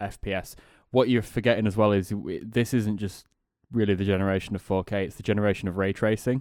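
In a Yorkshire accent, a man talks at a very fast pace and a fairly low pitch with monotone, flat intonation, on a very clean recording with a silent background. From northern England, Sheffield. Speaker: podcast co-host. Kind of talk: casual chat.

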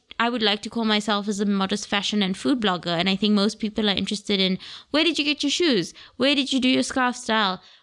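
A woman rattles along at a very fast pace with lively intonation. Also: fairly high pitch for a woman. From Botswana. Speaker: podcast host and modest fashion blogger. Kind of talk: solo Q&A monologue.

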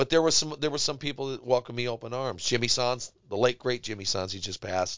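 Barely pausing, a man with an American accent talks at a very fast pace with ordinary pitch variation. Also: medium pitch for a man. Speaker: musician. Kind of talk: casual interview. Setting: studio.

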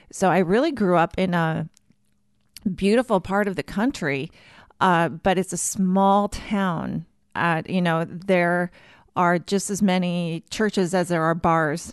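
A woman's fairly low-pitched voice with a slight Minnesotan accent, ordinary pitch variation and a fairly slow pace, over a quiet background. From Minnesota, US Midwest. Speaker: church communications director. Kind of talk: casual interview.

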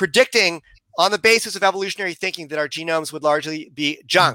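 On a very clean recording with a silent background and a dry, close sound with no echo, a man in a raised, projected voice with a bright, sharp tone speaks at a very fast pace with ordinary pitch variation. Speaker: intelligent design advocate. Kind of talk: interview.

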